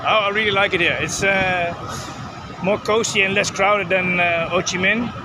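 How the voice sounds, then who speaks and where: A man with a high pitch projects his raised voice in a monotone, flat intonation at very even loudness, with audible room echo and noticeable background noise. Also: moderate pace. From Netherlands. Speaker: tourist. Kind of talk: street interview.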